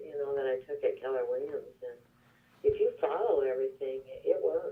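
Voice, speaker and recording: A woman speaks at a moderate pace. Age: 60s. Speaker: real estate agent. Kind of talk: casual phone chat.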